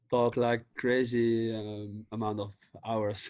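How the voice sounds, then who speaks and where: This is a man speaking. He has a Dutch accent. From Netherlands, The Hague. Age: 30s. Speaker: vintage clothing seller. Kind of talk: casual chat. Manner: halting.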